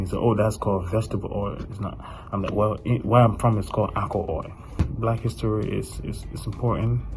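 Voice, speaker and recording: With a Liberian accent and fairly even intonation, a man speaks at a fairly quick pace and a fairly low pitch amid audible room echo. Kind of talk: personal testimony.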